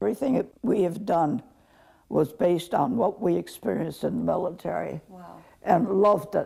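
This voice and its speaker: A woman speaks at a moderate pace with a dark, mellow tone and ordinary pitch variation. Vocal fry runs through her voice. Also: medium pitch for a woman, big swings in loudness. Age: 80s+. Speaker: army nurse veteran. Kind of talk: interview answer.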